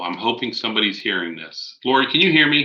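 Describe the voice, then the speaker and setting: Loud and bright, a man speaks in a sharp tone. He has an American accent. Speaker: conference host. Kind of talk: conference presentation.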